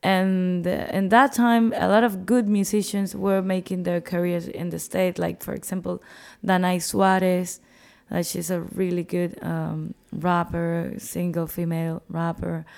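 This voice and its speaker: Speech in a Spanish accent comes at a fairly slow pace over a very clean recording with a silent background. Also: woman. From Cuba (Havana). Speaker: musician and festival organizer. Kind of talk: interview.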